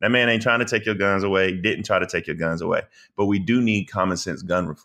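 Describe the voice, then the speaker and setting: Speaking very fast, a man uses a Southern US accent. His pitch is fairly low, with ordinary variation. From US South, South Carolina. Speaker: political commentator and attorney. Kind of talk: casual interview. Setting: podcast. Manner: eloquent.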